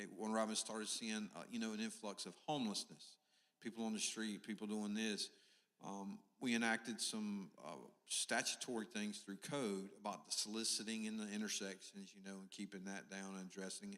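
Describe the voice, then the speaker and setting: A man with a fairly low pitch talks at a fairly quick pace, his bright, sharp tone carried on fairly even intonation. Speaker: police officer. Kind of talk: town hall remarks. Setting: church community meeting. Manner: loud.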